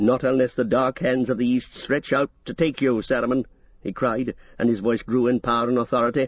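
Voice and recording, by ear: Someone reading aloud in a natural voice.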